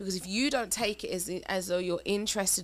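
An ordinary speaking voice comes from a woman talking at a fairly quick pace, at a medium pitch with ordinary pitch variation. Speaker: married couple podcast co-host. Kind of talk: casual conversation, relationship advice.

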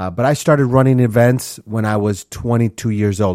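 In an American accent, a man speaks at a moderate pace with a medium pitch and ordinary pitch variation. The recording is very clean and dry, close, with no echo and a silent background. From US Midwest, Minneapolis, Minnesota. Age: 40s. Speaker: podcast host, leadership coach. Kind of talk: solo podcast monologue.

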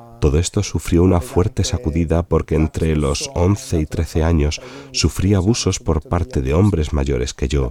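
Very deep and low, a man's voice moves at a fairly slow pace, with lively intonation and very even loudness. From Sicily, Italy. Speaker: novelist. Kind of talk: personal testimony interview.

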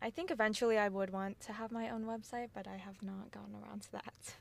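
An unremarkable speaking voice, a woman's with an American accent, sits fairly high in pitch with fairly even intonation. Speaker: student and clothing brand founder. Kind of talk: casual interview.

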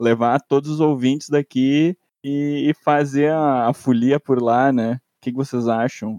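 A man with a fairly high voice and a dark, mellow tone talks very slowly with fairly even intonation, the sound dry and close with no echo. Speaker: podcast co-host, master's student. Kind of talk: casual chat.

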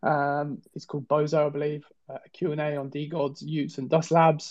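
Someone speaks at a fairly quick pace with a southern English accent. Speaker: podcast host. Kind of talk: casual chat, news rundown. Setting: online audio space with audience.

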